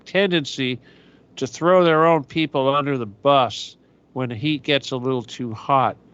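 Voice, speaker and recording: Ordinary pitch variation in a normal speaking voice from a man, fairly high in pitch. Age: 60s. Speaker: internet radio host. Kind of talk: solo talk radio monologue.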